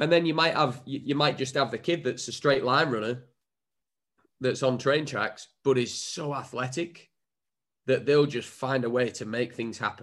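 With an English accent, a man speaks at a moderate pace and with fairly even intonation. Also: medium pitch for a man. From England. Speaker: former footballer and coach. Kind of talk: interview.

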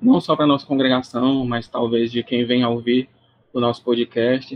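A man with a plain, everyday voice at medium pitch and a moderate pace. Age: 20s. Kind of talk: interview conversation.

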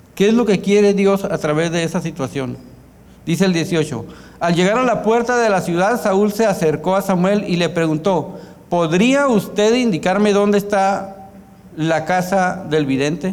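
Amid noticeable background noise and audible room echo, a man speaks fairly slowly in a high pitch, with ordinary pitch variation and very even loudness. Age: 40s. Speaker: pastor. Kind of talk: sermon. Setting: church.

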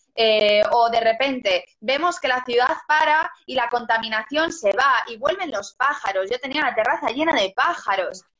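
At a fairly slow pace with hardly any pauses, a woman with a high pitch speaks with lively intonation. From Galicia, Spain (Lugo). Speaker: singer and actress. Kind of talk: interview.

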